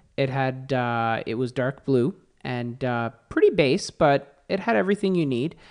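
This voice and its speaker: This man has a normal speaking voice and a medium pitch. He speaks at a fairly slow pace against a quiet background. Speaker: automotive editor and podcaster. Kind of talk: casual interview. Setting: in person studio.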